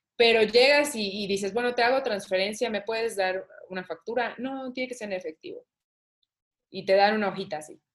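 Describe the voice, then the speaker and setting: At a fairly quick pace, an unremarkable speaking voice shows ordinary pitch variation and big swings in loudness. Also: woman, fairly high pitch for a woman. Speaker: saxophonist. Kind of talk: interview conversation.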